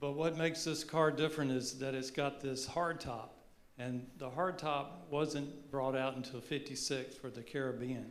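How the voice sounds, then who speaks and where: A man at a fairly high pitch, moderate pace and fairly even intonation, with audible room echo. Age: 70s. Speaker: car owner. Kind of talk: panel discussion. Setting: stage with audience.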